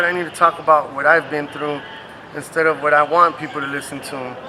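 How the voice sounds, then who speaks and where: Through noticeable background noise, a man with an American accent talks at a moderate pace. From Compton, Los Angeles. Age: 30s. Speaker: rapper. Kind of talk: interview. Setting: sit-down interview. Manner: casual.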